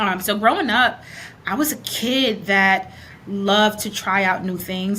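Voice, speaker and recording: A woman's medium-pitched voice at a fairly slow pace. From New York City (Brooklyn), born in Panama. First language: Spanish. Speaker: educator and consultant. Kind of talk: interview conversation.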